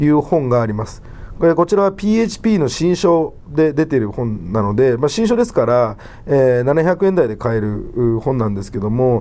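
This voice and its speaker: With a dark, mellow tone and medium pitch, a man speaks at a moderate pace, his pitch swinging very widely. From Japan, Wakayama. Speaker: podcast host. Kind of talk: solo podcast talk. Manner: many filler 'えー' hesitations; low-energy, trying to sound livelier.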